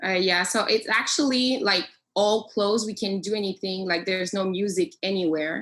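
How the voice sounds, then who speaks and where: A woman speaks at a medium pitch with a French accent. Her pace is moderate and her pitch varies in an ordinary way. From Quebec. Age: 20s. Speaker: professional singer. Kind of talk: casual interview chat. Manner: halting.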